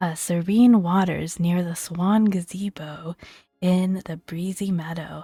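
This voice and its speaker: A soft-spoken voice comes through with music playing in the background. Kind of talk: gaming ASMR walkthrough.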